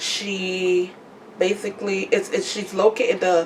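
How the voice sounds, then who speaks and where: A woman in an American accent, medium in pitch, at a very slow pace, with noticeable background noise. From Trinidad. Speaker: podcaster promoting businesses. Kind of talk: casual vlog monologue. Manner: casual, repetitive with self-corrections.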